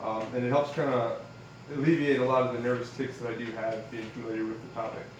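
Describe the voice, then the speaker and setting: Mumbling at a fairly quick pace, a man speaks with monotone, flat intonation at a medium pitch. Room echo can be heard. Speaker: student and Navy service member. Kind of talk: class speech. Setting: classroom with audience. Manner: fast with many fillers; trails off into mumble.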